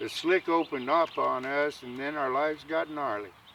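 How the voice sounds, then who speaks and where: Noticeable background noise behind a man's voice of ordinary pitch variation. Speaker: cowboy poet, Vietnam veteran. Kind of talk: poetry reading.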